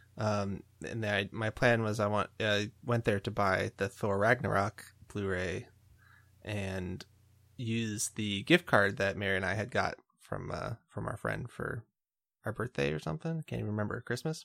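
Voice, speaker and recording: In a very clean recording with a silent background and a dry, close sound with no echo, a man with a plain, everyday voice speaks at a moderate pace and a fairly low pitch. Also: ordinary pitch variation. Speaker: band podcast host, bassist and keyboardist. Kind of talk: casual chat.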